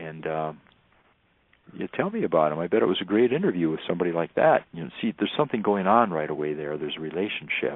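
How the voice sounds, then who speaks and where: A man with a Northern US accent and ordinary pitch variation. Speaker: wilderness teacher and tracker. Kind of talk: radio interview.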